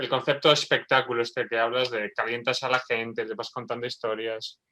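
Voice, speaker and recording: In an Aragonese accent, the voice moves at a fairly quick pace with a bright, sharp tone and a flat, monotone intonation. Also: man, medium pitch for a man. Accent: Spanish from Spain (Aragon). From Spain, Zaragoza. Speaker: neurobiologist. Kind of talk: casual chat.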